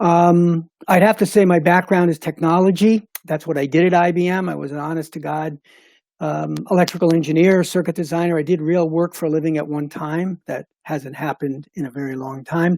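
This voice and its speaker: High in pitch with fairly even intonation, a man speaks on a very clean recording with a silent background and a dry, close sound with no echo. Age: 70s. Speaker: retired engineer and board chairman. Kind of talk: panel discussion.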